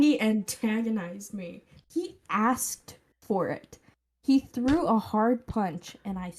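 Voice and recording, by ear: The reading aloud in a natural voice takes place over a quiet background.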